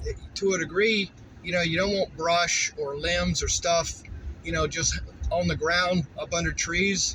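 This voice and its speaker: This is a man talking at a fairly slow pace. Noticeable background noise runs underneath. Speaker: vlogger, rural landowner. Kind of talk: casual vlog narration while driving. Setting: in a car. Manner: loud; relaxed, rambling with fillers.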